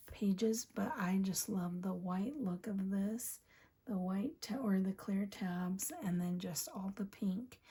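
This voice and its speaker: Soft-spoken and somewhat breathy, the voice has a dark, mellow tone and a very slow pace. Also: woman. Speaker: planner youtuber. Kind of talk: casual chat. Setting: home at night.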